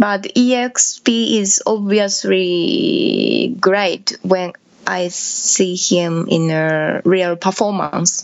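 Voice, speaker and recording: A woman with a Japanese accent at a very slow pace with hardly any pauses, over noticeable background noise. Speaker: electronic musician. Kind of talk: interview.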